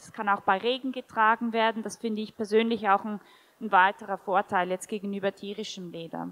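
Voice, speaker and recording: Bright and sharp in tone, a woman with a Swiss German accent speaks at a fairly high pitch in a monotone, flat intonation. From Switzerland. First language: Swiss German (speaking German). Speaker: shoe company founder; panelist. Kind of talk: panel discussion. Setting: stage with audience. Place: hall. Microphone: handheld.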